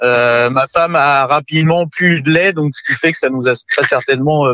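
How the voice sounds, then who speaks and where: The man has a bright, sharp tone at a fairly high pitch, with ordinary pitch variation. The sound is dry and close, with no echo. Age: 30s. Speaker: father of two. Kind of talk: casual chat.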